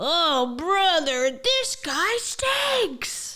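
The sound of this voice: This put-on character voice sits at an extremely high pitch and makes very wide pitch swings.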